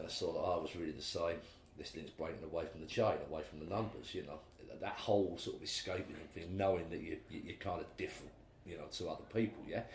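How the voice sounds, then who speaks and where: A man talks at a very fast pace. There is audible room echo. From England, Basildon, Essex (East End roots). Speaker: musician. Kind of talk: interview conversation. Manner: hesitant, many fillers and repetitions.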